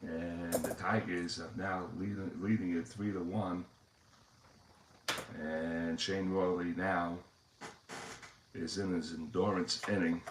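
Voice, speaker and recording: A man with a New York accent, very deep and low in pitch, at a very slow pace with long, frequent pauses and fairly even intonation. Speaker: tabletop baseball game streamer. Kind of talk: play-by-play commentary of a tabletop game. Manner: hesitant, many fillers.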